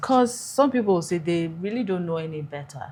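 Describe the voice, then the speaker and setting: Somewhat breathy, a woman talks at a moderate pace. Her voice is fairly low-pitched, with a dark, mellow tone. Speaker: podcast host. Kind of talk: interview.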